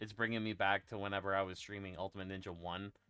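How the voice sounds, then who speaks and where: Music is heard in the background while a man talks with fairly even intonation. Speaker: gaming streamer. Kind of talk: casual chat. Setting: live stream. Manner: halting.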